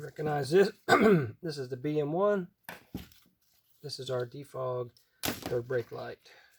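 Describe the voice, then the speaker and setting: Speaking at a fairly slow pace with long, frequent pauses, a man sounds somewhat breathy, his fairly high pitch showing ordinary variation. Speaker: car wiring tutorial maker. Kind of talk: tutorial.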